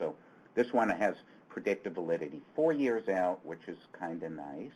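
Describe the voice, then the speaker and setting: Delivered at a moderate pace, the speech has big swings in loudness and very wide pitch swings. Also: man, fairly low pitch for a man. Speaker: education researcher. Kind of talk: webinar lecture. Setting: online webinar. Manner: hesitant, many fillers.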